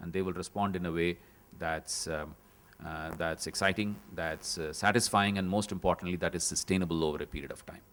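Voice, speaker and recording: This man has a very deep, low pitch and a Tamil accent. He talks at a fairly quick pace with fairly even intonation. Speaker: panel moderator. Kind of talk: panel discussion summary. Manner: halting.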